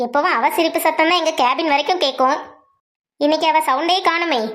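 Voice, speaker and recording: A woman puts on a squeaky character voice at an extremely high pitch. She keeps a moderate pace and a very even loudness throughout. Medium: cartoon.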